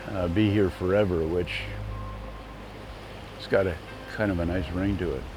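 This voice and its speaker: Over music in the background and audible room echo, a man with a very deep, low pitch talks at a moderate pace with fairly even intonation and long, frequent pauses. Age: 70s. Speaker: golf course owner and developer. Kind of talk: casual chat.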